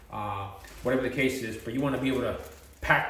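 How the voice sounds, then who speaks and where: In a room with audible echo and noticeable background noise, a man talks fairly quickly at medium pitch with fairly even intonation. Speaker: self-defense and first aid instructor. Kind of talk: tutorial. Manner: fast; casual, hesitant with fillers.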